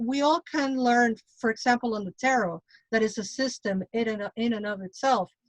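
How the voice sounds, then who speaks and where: A woman speaks in a high pitch at a moderate pace. The sound is dry and close, with no echo. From Mexico. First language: Spanish. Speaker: tarot reader and witch. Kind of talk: casual panel discussion.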